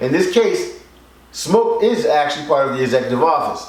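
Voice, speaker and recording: Against noticeable background noise and audible room echo, a man with a Philadelphia accent speaks with very wide pitch swings. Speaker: record label executive and show host. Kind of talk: casual music critique chat.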